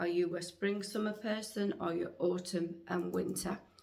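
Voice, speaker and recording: A woman talks with an unremarkable speaking voice at a medium pitch. Her pace is fairly slow, and her pitch varies in an ordinary way. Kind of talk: casual vlog talk to camera.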